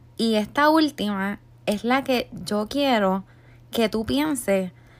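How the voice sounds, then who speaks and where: A woman with a Puerto Rican accent speaks at a very slow pace, her pitch fairly high and her intonation lively. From Puerto Rico. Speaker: podcast host, life coach. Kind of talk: motivational monologue.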